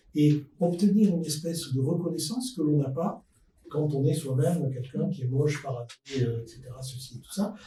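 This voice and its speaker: Using a normal speaking voice, a man with a fairly high pitch talks at a moderate pace with ordinary pitch variation and big swings in loudness. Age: 60s. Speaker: podcast guest, futurist expert. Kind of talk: panel discussion.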